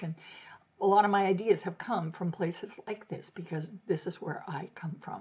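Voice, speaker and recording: With an American accent, a woman speaks at a moderate pace in a medium pitch, her voice somewhat breathy. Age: 70s. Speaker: blogger. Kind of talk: casual talk to camera.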